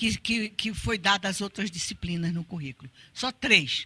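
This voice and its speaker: With lively intonation, a woman speaks in a dry, close sound with no echo. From Brazil, Pernambuco (Recife). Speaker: art educator and researcher. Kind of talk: lecture. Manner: halting, many repetitions.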